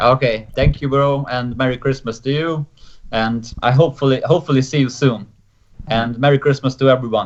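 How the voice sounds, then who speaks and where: A man with a Hungarian accent talks fairly quickly at a medium pitch, his intonation fairly even. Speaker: pro wrestler. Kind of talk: casual chat. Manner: halting.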